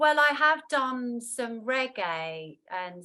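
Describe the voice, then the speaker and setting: Her tone bright and sharp, a woman talks with lively intonation. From London, England. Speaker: singer-songwriter. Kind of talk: interview.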